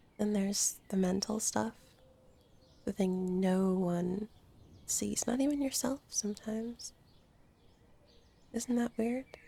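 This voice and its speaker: Soft-spoken and somewhat breathy, a woman talks very slowly at a medium pitch with a gentle, dark and mellow tone, very even loudness, ordinary pitch variation, and long, frequent pauses. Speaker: ASMR roleplay artist. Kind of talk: comfort ASMR roleplay. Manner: soft-spoken, gentle, slow.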